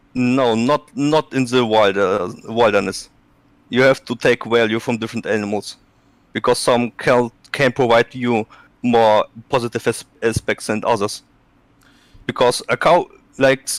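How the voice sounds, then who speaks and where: A man with a Russian accent speaks in a medium pitch with fairly even intonation and long, frequent pauses. The sound is dry and close with no echo, on a very clean recording with a silent background. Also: moderate pace. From Russia, Siberia. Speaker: ex-hunter and farmer. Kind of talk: live stream discussion. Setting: live stream call. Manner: halting.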